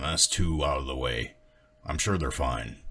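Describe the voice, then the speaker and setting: A put-on character voice comes through raspy, with ordinary pitch variation. The pace is moderate. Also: man, very deep, low pitch for a man. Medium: read story. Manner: gruff, blunt.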